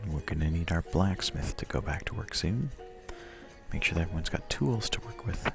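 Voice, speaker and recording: A soft-spoken man whispers at a fairly quick pace. Music plays in the background. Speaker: ASMR gaming video host. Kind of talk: ASMR guided game walkthrough, calming narration. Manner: soft-spoken, whispered, calming.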